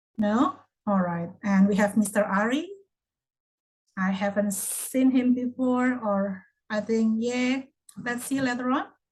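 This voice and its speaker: Somewhat breathy and fairly high-pitched, a woman talks at a fairly slow pace with long, frequent pauses. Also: ordinary pitch variation. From Indonesia. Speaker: online English class moderator. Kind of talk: casual group chat.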